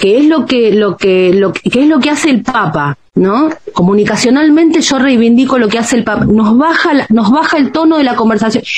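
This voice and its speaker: With noticeable background noise behind her, a woman speaks at a moderate pace with a fairly high pitch, lively intonation, very even loudness and hardly any pauses. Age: 50s. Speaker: journalist and author. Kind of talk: interview.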